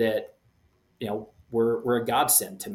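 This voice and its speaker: At a moderate pace, a man talks in a medium-pitched voice with a Louisiana accent. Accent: Louisiana Southern US. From Shreveport, Louisiana, US South. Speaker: missionary and youth soccer coach. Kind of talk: interview.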